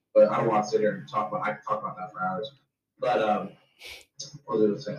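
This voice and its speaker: This speaker talks at a very fast pace in an American accent, with big swings in loudness. Long pauses come often. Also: man. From New Jersey, Jersey Shore. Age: 20s. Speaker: streamer and pro wrestler. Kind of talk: casual chat.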